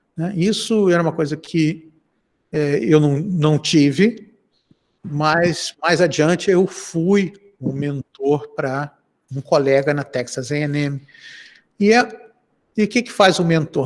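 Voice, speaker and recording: A man speaks with an unremarkable speaking voice at a fairly high pitch. His pitch variation is ordinary. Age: 60s. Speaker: professor. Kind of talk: interview. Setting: video call.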